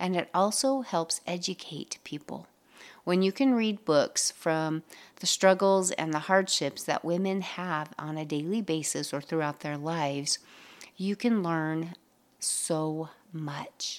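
A woman talks at a very slow pace in a fairly low pitch with ordinary pitch variation. The recording is very clean, with a silent background. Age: 50s. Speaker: podcast host, mindset coach. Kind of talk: solo motivational podcast talk.

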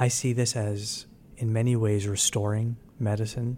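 A man with an American accent speaks in a fairly low pitch. His tone is dark and mellow, and somewhat breathy. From New York. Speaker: physician and health insurance executive. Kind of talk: interview.

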